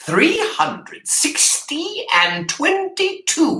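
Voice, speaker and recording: In a put-on character voice, the speaker uses an extremely high pitch at a very slow pace. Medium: read story. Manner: cold, dismissive.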